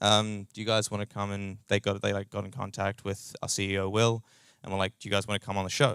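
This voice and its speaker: With a New Zealand accent, a man talks at a very fast pace and a fairly low pitch in monotone, flat intonation, on a very clean recording with a silent background and a dry, close sound with no echo. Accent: New Zealand, noticeable. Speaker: startup co-founder and tech lead. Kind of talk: conference talk. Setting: meetup stage with audience. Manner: casual, many fillers.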